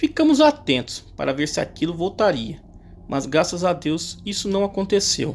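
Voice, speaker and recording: In a Brazilian accent, the speaker delivers lines at a fairly slow pace in a dramatic tone. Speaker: horror story narrator. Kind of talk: bedtime ghost story telling, spooky first-person horror tale. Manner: hushed, suspenseful, tense and dramatic, with a frightened tone in the climax.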